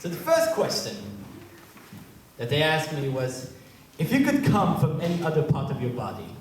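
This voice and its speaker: There is audible room echo and noticeable background noise as a man speaks at a fairly high pitch. His pitch varies in an ordinary way, and he leaves long, frequent pauses. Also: moderate pace. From Israel. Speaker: comedian. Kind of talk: stand-up. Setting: stage with audience.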